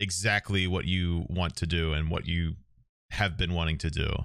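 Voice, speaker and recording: A man with a very deep, low pitch speaks in a bright, sharp tone in a very clean recording with a silent background. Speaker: podcast host and streamer. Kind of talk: casual chat.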